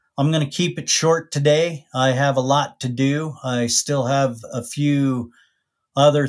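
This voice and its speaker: Here is a man with an ordinary speaking voice, medium in pitch, talking at a fairly slow pace with fairly even intonation. The recording is very clean, the background silent. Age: 50s. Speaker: podcast host. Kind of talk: solo monologue.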